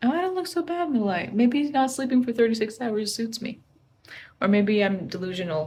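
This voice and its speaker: This woman is soft-spoken, her voice fairly high and her tone dark and mellow. Her pitch swings very widely. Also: fairly quick pace. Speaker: artist and travel vlogger. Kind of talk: casual vlog talk. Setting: hotel room.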